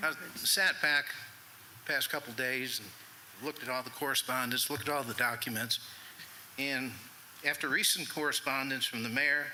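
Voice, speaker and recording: Over noticeable background noise, a man at a medium pitch talks at a moderate pace with fairly even intonation and long, frequent pauses. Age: 60s. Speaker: resident speaking at public comment. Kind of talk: public comment at town meeting. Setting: town council meeting.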